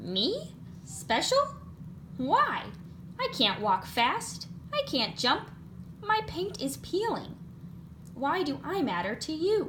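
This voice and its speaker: Using a put-on character voice, a woman speaks at a very slow pace with long, frequent pauses over clear background noise. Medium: read story. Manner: timid, unsure.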